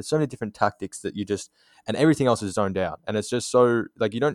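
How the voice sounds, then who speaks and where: Speaking at a very fast pace with ordinary pitch variation, a man talks in an Australian accent. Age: 20s. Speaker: graphic designer. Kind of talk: casual interview.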